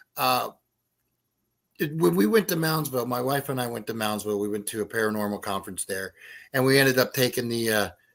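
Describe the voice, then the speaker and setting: With an American accent, a man of medium pitch talks at a fairly quick pace broken by long, frequent pauses. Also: very clean recording, silent background. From West Virginia. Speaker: writer and paranormal investigator. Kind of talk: casual chat.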